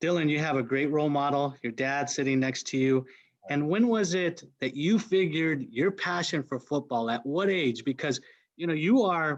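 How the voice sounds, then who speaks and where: A man at a fairly high pitch, moderate pace and ordinary pitch variation, over a quiet background. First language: Spanish. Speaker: panel host. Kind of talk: panel discussion.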